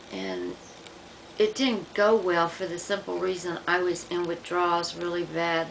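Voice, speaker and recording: Fairly slow delivery with fairly even intonation and audible room echo. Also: woman, fairly low pitch for a woman. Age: 60s. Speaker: vlogger documenting medication withdrawal. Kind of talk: personal video diary. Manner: halting.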